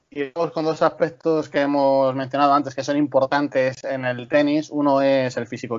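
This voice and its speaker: Talking at a fairly quick pace with hardly any pauses, a man uses a fairly high pitch and monotone, flat intonation. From Talavera de la Reina, Toledo, Spain. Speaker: sports podcast co-host. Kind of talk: news reading and interview.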